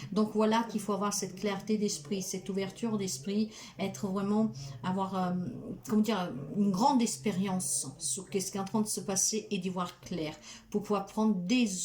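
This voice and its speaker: A woman's unremarkable speaking voice, moderate in pace, medium in pitch, and with ordinary pitch variation. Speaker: tarot card reader and spiritual healer. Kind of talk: tarot reading guidance monologue.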